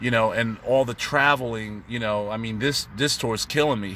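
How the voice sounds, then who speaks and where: At a moderate pace, a man talks in a medium-pitched, bright, sharp tone with fairly even intonation. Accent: American. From New York. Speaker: touring saxophonist. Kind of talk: casual vlog tutorial. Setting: in a car on tour. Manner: halting, many fillers and repetitions.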